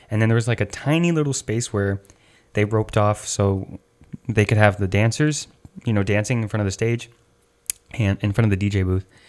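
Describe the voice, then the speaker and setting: A man with an American accent speaks at a fairly quick pace, with long, frequent pauses. His fairly low pitch shows ordinary variation. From Chicago, US. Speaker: podcast host, rave dancer. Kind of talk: casual chat.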